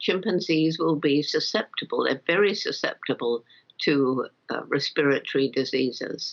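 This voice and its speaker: A woman with a British accent and a very deep, low pitch speaks at a fairly slow pace with ordinary pitch variation. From England. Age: 80s+. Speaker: primatologist. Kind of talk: interview answer.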